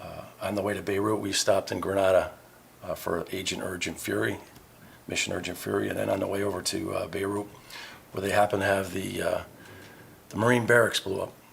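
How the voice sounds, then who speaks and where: With an American accent, a man speaks at a very fast pace but leaves long, frequent pauses, over noticeable background noise. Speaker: navy veteran and pub owner. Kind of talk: interview. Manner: halting.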